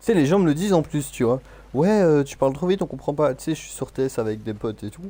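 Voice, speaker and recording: A man's fairly high, dark and mellow voice, very fast, with lively intonation. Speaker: gaming streamer. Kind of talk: casual chat. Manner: fast-talking.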